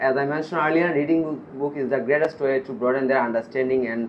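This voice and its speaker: A man talks against noticeable background noise. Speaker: IELTS test candidate. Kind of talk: speaking exam interview. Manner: hesitant, many pauses and repetitions; some mumbling.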